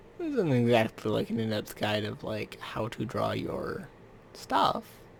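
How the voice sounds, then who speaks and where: The speaker talks at a fairly slow pace. Noticeable background noise runs under the voice. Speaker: YouTuber drawing maps. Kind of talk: casual drawing commentary. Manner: quiet, getting quieter.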